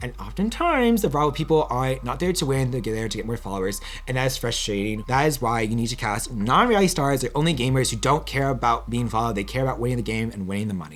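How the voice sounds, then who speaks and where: A man at a very fast pace with hardly any pauses, over noticeable background noise. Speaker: reality TV reviewer. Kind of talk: solo video commentary. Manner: casual, hesitant.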